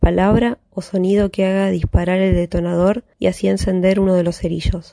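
In a dry, close sound with no echo, a woman speaks at a medium pitch and a moderate pace, her dark, mellow tone held to a monotone, flat intonation. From Buenos Aires, Argentina. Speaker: listener contributor reading aloud. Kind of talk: reading aloud a novel excerpt.

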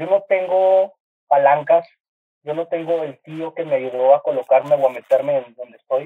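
A man with a fairly high voice and a northern Mexican accent talks at a fairly slow pace, his pitch varying in an ordinary way, while music plays in the background. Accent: northern Mexican (regio). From Monterrey, northern Mexico. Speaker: graphic designer and TV artist. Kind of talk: casual chat. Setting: video call. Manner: animated.

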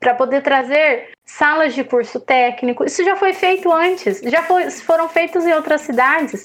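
Lively intonation marks this woman's fairly slow delivery. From Andirá, Paraná, Brazil. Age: 30s. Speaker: mayoral pre-candidate. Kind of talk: interview.

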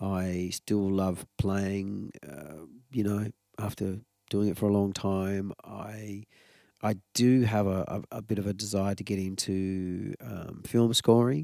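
In an Australian accent, a man talks at a very slow pace with a fairly low pitch and a dark, mellow tone. His intonation is fairly even, and the very clean recording has a silent background and a dry, close sound with no echo. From Tasmania, Australia. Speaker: musician. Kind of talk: casual interview. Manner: halting.

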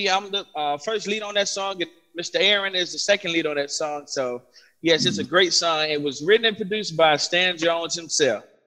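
With a bright, sharp tone, a man talks at a moderate pace in a high pitch with ordinary pitch variation. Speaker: gospel singer. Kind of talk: casual interview.

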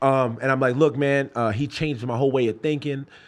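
This very clean recording, with its silent background, has a man talking at a moderate pace. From New York (Brooklyn/Queens), Jamaican parents. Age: 30s. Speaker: MMA fighter. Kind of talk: casual chat.

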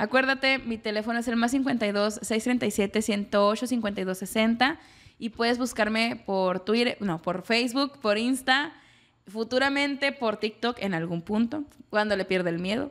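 A very slow, fairly high-pitched female voice with ordinary pitch variation. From Mexico. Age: 20s. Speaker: psychologist. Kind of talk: casual chat. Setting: home kitchen.

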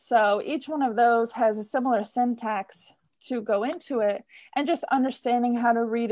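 A woman with an American accent and a plain, everyday voice speaks at a moderate pace and fairly high pitch with ordinary pitch variation over a quiet background. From Michigan, US. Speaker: theater technician. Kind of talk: interview.

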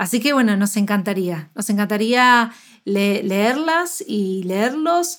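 A woman with an Argentine accent speaks very slowly, her fairly high voice swinging very widely in pitch. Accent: Argentine Spanish (Rioplatense). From Argentina. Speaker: nutritionist podcast co-host. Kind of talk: casual chat. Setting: remote call across two countries.

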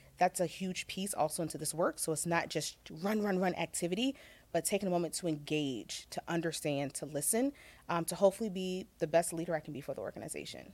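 With an American accent and an ordinary speaking voice, a woman talks at a fairly quick pace in a fairly low pitch with ordinary pitch variation. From Virginia. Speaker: corporate equity and inclusion executive. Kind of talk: interview.

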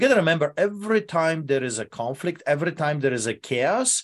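A man with a Polish accent speaks at a fairly quick pace and fairly high pitch, passionate in tone with lively intonation. The recording is very clean, with a silent background. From Poland. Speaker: pastor. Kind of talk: interview, passionate preaching. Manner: passionate, forceful.

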